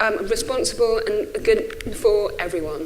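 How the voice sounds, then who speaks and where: Noticeable background noise mixes with audible room echo as a woman talks. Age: 40s. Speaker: think tank director. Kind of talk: conference talk. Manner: halting.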